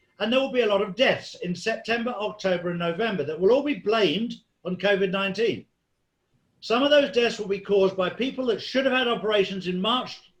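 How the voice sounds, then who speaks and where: A man talks at a fairly quick pace with a high pitch. His pitch varies in an ordinary way. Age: 60s. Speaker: conspiracy commentator interviewed as guest. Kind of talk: interview. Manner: animated.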